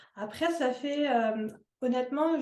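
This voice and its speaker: A woman speaks at a very slow pace with a high pitch. Her intonation is fairly even. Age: 30s. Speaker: holistic wellness entrepreneur. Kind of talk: interview. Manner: hesitant, many fillers.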